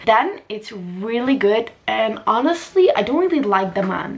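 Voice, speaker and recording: A woman with a non-native accent speaks in an animated tone over noticeable background noise. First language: not English. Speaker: lifestyle and book vlogger. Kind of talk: casual vlog talk.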